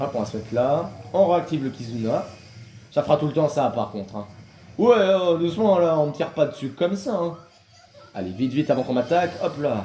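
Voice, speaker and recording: Long, frequent pauses break up a man's fairly quick speech. His pitch swings very widely. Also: fairly high pitch for a man. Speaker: gaming youtuber. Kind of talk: gameplay commentary. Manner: fast.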